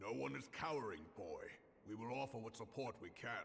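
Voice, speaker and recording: A raspy, put-on character voice at a fairly quick pace, with very wide pitch swings and clear background noise. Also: man, medium pitch for a man. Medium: video game. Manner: gruff, steady.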